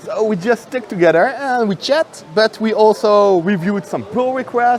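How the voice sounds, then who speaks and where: There is noticeable background noise as a man speaks at a high pitch with ordinary pitch variation. His tone is animated. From France and Netherlands, half French half Dutch. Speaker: software developer. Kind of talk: conference interview. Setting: conference venue.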